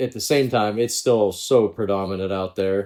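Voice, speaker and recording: With an American accent, a man talks at a fairly quick pace in an unremarkable speaking voice with ordinary pitch variation. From Pittsburgh, Pennsylvania. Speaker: former pro golfer. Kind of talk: podcast interview.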